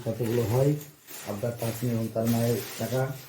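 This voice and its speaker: The man's tone is dark and mellow, with medium pitch. His voice is somewhat breathy. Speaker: father filming family savings. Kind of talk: casual home video commentary.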